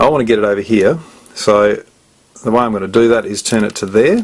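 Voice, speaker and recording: There is noticeable background noise. A man speaks with a fairly low pitch. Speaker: puzzle tutorial presenter. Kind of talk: tutorial. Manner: fast.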